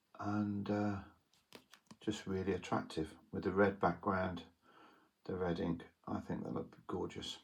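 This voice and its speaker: A man with a very deep, low pitch, a fairly slow pace, monotone, flat intonation and long, frequent pauses. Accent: British. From UK. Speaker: trading card collector, YouTuber. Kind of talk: casual show-and-tell monologue. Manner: hesitant, many fillers.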